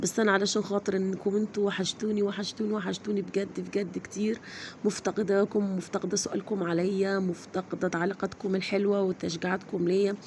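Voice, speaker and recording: With an Egyptian accent, a woman at medium pitch speaks in a monotone, flat way at a moderate pace, with hardly any pauses and very even loudness. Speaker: vlogger. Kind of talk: casual vlog.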